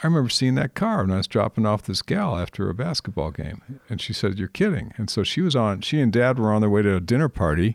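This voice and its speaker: A man at a fairly quick pace, with very wide pitch swings, on a very clean recording with a silent background. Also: dry, close sound with no echo. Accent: American. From California, Napa Valley. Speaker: podcast host and vintner. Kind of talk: casual interview.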